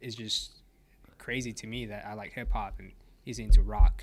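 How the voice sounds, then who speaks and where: The pace here is moderate. The man talking has an American accent. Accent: Americanized, more than his brother's. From Mexico. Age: 20s. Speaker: podcast guest. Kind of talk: casual chat.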